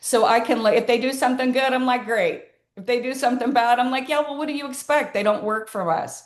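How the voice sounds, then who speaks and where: Speaking very fast, a woman uses a high pitch with ordinary variation. Audible room echo surrounds her voice. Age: 60s. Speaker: podcast host. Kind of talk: interview conversation. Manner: rambling, halting.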